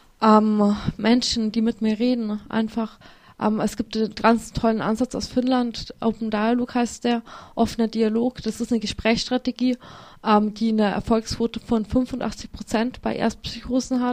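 On a very clean recording with a silent background, a woman speaks at a fairly high pitch. Her delivery is fairly slow and monotone, with flat intonation. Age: 20s. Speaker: author and psychiatry survivor. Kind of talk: interview testimony. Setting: radio studio. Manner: halting, many fillers.

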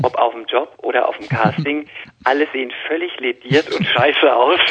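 Noticeable background noise accompanies this recording. A man with a medium pitch speaks at a moderate pace. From Palatinate, Germany (Speyer). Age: 30s. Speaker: actor and model. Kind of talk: interview. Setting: phone call.

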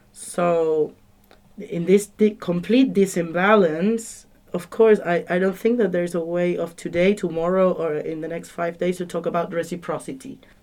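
This woman speaks with a Spanish accent at a moderate pace. Her voice is fairly low, and her intonation stays fairly even. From Argentina. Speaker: conference participant. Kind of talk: radio panel discussion. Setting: studio.

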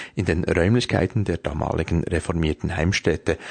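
This man has a very deep, low pitch and fairly even intonation at a moderate pace. His recording sounds dry and close, with no echo. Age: 50s. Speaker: radio show producer. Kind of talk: scripted radio segment.

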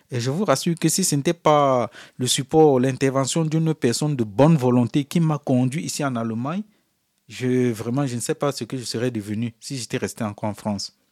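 A man with a medium-pitched voice and ordinary pitch variation talks at a fairly quick pace, recorded very cleanly against a silent background with a dry, close sound and no echo. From Africa. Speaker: refugee. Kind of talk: interview testimony. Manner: halting.

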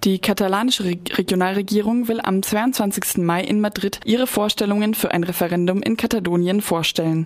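In an ordinary speaking voice, the speaker goes at a fairly quick pace with hardly any pauses, very even loudness and fairly even intonation. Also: woman, medium pitch for a woman. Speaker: news reader. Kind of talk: newsreading. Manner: formal.

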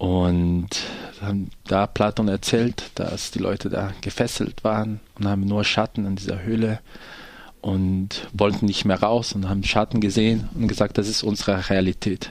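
In a Portuguese accent, a man talks at a fairly slow pace with a fairly low pitch and monotone, flat intonation. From Brazil, poor neighborhood. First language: Portuguese (speaking German). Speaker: theatre actor and director. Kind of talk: radio interview.

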